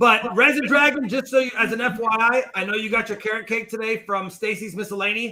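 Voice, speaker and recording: A man speaks in a raised, projected voice. His pitch is high. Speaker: coin channel host. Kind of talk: casual chat. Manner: loud. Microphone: echo and feedback reported.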